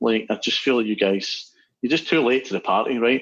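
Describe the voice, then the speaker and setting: A man with a Scottish accent talks with ordinary pitch variation. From Scotland. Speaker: musician and app developer. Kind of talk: casual chat.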